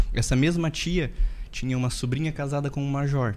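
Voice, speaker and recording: A man's voice rests at a medium pitch, his intonation fairly even. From interior of Rio Grande do Sul, Brazil. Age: 30s. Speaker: dentist and business owner. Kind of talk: podcast interview, personal life story.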